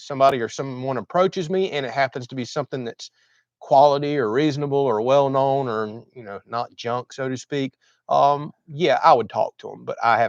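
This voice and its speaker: A man with a Southern US accent at a fairly quick pace, dry and close with no echo, over a quiet background. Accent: US South. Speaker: homesteading YouTuber. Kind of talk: livestream chat reading comments. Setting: livestream. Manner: talkative.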